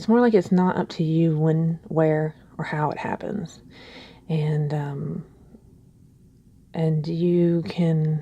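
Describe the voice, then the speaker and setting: A woman speaks at a fairly low pitch. Her voice is somewhat breathy, with a dark, mellow tone. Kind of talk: ASMR soft spoken share, casual talk to camera. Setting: quiet early morning, home recording. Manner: soft-spoken, slow, hesitant.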